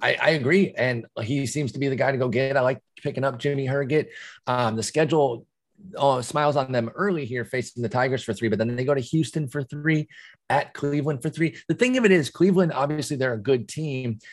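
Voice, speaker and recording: Captured on a very clean recording with a silent background, a man uses an ordinary speaking voice with fairly high pitch and ordinary pitch variation. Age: 40s. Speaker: fantasy baseball analyst. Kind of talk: casual chat.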